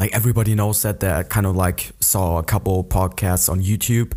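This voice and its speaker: Recorded very cleanly against a silent background, a man speaks at a fairly low pitch in a dark, mellow tone. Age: 20s. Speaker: podcaster. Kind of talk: casual monologue. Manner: hesitant, many fillers.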